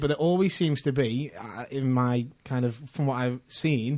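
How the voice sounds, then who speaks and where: In a Scouse accent, a man speaks at a fairly high pitch. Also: very clean recording, silent background. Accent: Scouse, considered posh locally. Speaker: podcast co-host. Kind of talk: casual chat.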